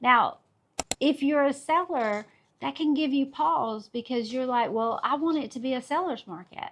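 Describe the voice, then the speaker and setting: This woman has a high pitch and a Southern US accent. Her tone is animated, her intonation lively and her pace moderate. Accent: Southern US (Georgia). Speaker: real estate agent. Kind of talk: market update video.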